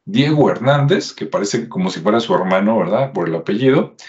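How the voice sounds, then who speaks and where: This man speaks at a moderate pace with vocal fry and very wide pitch swings. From Mexico, Jalisco (Guadalajara). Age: 50s. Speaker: history YouTuber. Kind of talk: casual history talk with screen share. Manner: conversational.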